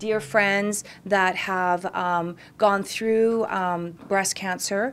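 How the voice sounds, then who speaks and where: A woman speaks with a western Canadian accent. Her intonation stays fairly even. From Canada, Kamloops, British Columbia; British Columbia, Canada. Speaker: salon owner and event organizer. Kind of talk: interview. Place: office.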